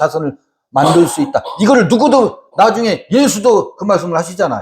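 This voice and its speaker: The voice is loud and animated. Its pitch swings very widely. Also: man. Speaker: Bible teacher. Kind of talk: Bible study lecture with audience.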